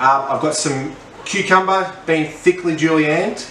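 The voice moves at a moderate pace with fairly even intonation. There is audible room echo and light background noise. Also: man. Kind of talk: tutorial. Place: kitchen.

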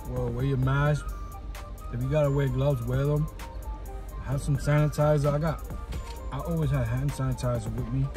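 A man talks rather quickly, with clear music playing behind him. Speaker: vlogger. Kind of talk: casual vlog chat. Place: car. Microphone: phone near.

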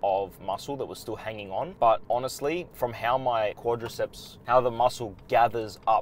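A man talks at a moderate pace with ordinary pitch variation. The sound is dry with no echo, over light background noise. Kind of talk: casual vlog chat. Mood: calm, informative. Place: car. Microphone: lapel.

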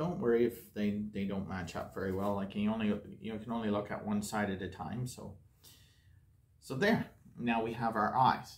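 A man talks with a fairly low pitch.

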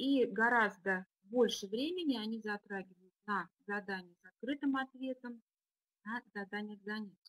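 A woman speaks at a fairly slow pace, her loudness swinging widely, with ordinary pitch variation. The sound is dry with no echo, and the background is quiet. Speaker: deputy school director; webinar presenter, educator. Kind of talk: webinar presentation. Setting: online webinar. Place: home room. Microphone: video call.

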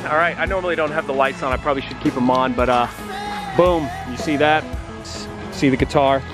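A man talks at a very fast pace with ordinary pitch variation, dry with no echo, over clear music in the background. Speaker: street musician missionary vlogger. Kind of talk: casual vlog chat. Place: street. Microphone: phone near.

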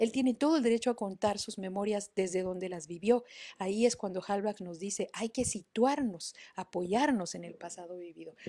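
A woman's dark, mellow voice at medium pitch and moderate pace, with big swings in loudness and a quiet background. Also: ordinary pitch variation. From Mexico City. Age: 50. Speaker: online storytelling workshop host. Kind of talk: live-streamed talk with book readings. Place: home room. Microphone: webcam.

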